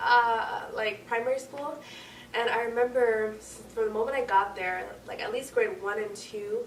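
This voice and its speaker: A woman speaks at a fairly high pitch. Noticeable background noise and audible room echo fill the recording. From Quebec. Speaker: university student. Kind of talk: casual chat.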